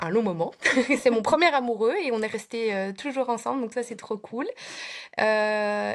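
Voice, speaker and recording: In a very clean recording with a silent background, a woman with a slight Belgian accent speaks at a moderate pace, her fairly high pitch showing ordinary variation. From Belgium. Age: 30s. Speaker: preschool teacher. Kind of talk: casual interview.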